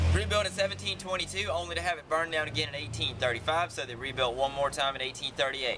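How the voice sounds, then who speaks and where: A man with a Southern accent, very fast pace and lively intonation, amid noticeable background noise. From South Carolina, Heath Springs. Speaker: carriage tour guide. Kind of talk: guided tour commentary. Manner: animated.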